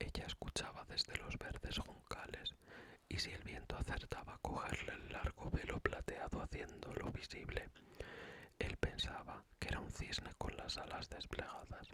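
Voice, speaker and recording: Whispering at a moderate pace. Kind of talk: fairy tale read aloud. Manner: whispered.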